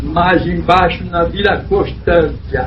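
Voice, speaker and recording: Noticeable background noise and audible room echo are present. Through them, a man talks very slowly. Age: 70s. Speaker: church elder. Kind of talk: testimony.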